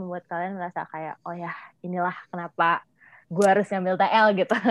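A woman talks at a fairly quick pace, the sound dry and close with no echo. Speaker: student podcast host. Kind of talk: casual interview. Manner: animated.

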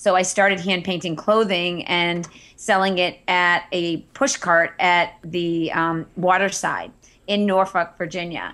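A woman's bright, sharp voice in an American accent, flat and monotone, on a very clean recording with a silent background. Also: fairly low pitch for a woman, fairly slow pace. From Massachusetts (Andover). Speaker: entrepreneur and Instagram marketing teacher. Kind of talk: interview.

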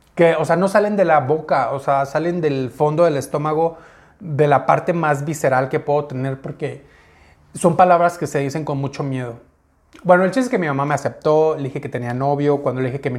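A man speaks with a fairly high pitch and ordinary pitch variation, in a normal speaking voice. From Mexico, Uruapan, Michoacán. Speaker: YouTuber. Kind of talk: personal story monologue. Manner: casual, conversational.

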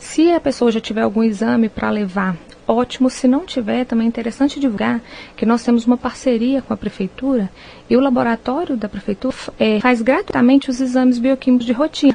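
Noticeable background noise sits behind a woman whose high voice has ordinary pitch variation. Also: fairly quick pace. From Minas Gerais, Brazil (Viçosa). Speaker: nutritionist. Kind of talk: radio interview.

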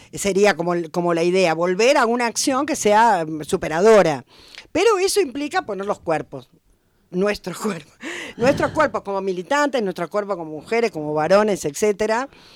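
Speaking in a porteño accent, a woman uses a medium pitch at a moderate pace. Her pitch swings very widely. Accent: porteño (Buenos Aires). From Buenos Aires, Argentina. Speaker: historian and popular educator. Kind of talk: radio interview.

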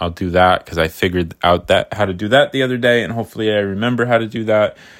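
Over a very clean recording with a silent background, a man speaks at a moderate pace with fairly even intonation. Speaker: podcaster and artist. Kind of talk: casual solo ramble. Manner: rambling, casual, self-deprecating.

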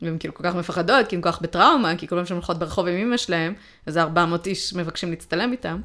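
Speaking at a very fast pace, a woman uses fairly low pitch with ordinary pitch variation. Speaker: podcast co-host. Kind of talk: casual chat.

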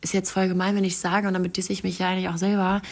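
Medium-pitched female voice with vocal fry and fairly even intonation, very clean recording against a silent background. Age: 20s. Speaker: podcast host and influencer. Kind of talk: casual solo monologue. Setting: at home on her couch. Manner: chatty, with frequent fillers and laughs.

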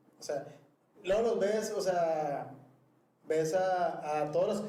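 A man's high-pitched voice with ordinary pitch variation, amid audible room echo. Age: 30s. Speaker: podcast co-host, office worker. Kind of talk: casual chat.

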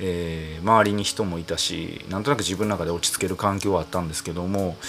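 A man speaks with a very deep, low pitch. Noticeable background noise runs underneath. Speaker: singer-songwriter podcast host. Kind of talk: solo casual monologue. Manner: calm, cool bar-master delivery.

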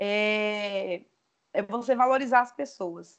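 A woman with a fairly high voice speaks at a very slow pace, her pitch varying in an ordinary way. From Brazil, interior of Espírito Santo near Bahia border. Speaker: animal scientist, dairy consultant and entrepreneur. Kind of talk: casual interview. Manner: hesitant, many fillers.

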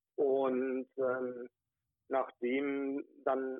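The man's pitch is fairly high. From Ruhrgebiet area near Wuppertal, western Germany. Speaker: regional party chairman. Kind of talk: interview. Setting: phone call.

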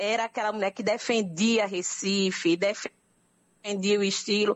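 A woman is talking here. Her pace is moderate. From Brazil, Northeast (Pernambuco). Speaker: anthropologist. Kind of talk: radio interview.

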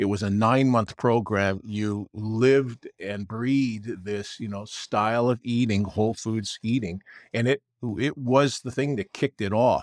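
An unremarkable speaking voice from a man, medium in pitch, fairly slow and fairly even in intonation, dry and close with no echo, on a very clean recording with a silent background. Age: 60s. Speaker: wellness company owner. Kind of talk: interview.

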